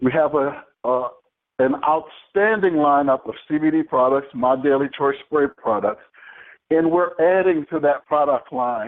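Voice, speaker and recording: Here is a man with an ordinary speaking voice, pitched fairly high with ordinary variation. He talks at a fairly slow pace with very even loudness. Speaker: network marketing promoter. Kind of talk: sales pitch. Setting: conference call.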